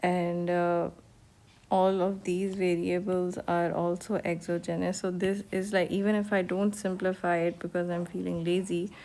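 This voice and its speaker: With a Pakistani accent, a woman speaks fairly slowly in a fairly low pitch and a dark, mellow tone. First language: Urdu. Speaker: economics teacher. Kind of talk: lecture. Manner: hesitant, many fillers.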